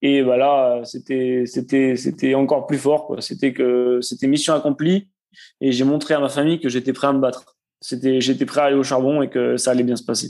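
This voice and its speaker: Against a quiet background, a man speaks in a dark, mellow tone. His intonation is flat and monotone. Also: medium pitch for a man, moderate pace. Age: 20s. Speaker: marathon runner, soldier, cancer survivor. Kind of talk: podcast interview answer.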